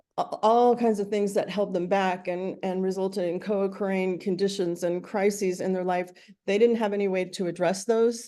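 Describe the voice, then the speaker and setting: The voice has a dark, mellow tone and monotone, flat intonation, with hardly any pauses. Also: woman, medium pitch for a woman, quiet background. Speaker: nonprofit director presenting. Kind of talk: meeting presentation. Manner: fast.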